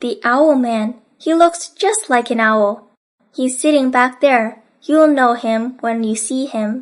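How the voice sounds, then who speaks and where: Using a put-on character voice, a woman talks at a fairly slow pace in a high pitch. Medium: read story.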